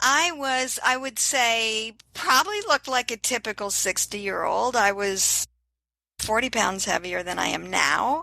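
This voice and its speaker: This woman's tone is bright and sharp, her intonation lively and her pace fairly slow. The sound is dry and close with no echo, against a quiet background. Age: 60s. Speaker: fitness influencer and transplant survivor. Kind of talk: interview. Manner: enthusiastic.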